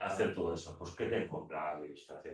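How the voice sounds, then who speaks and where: Man's voice with very wide pitch swings. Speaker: law teacher. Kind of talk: lecture. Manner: fast; halting.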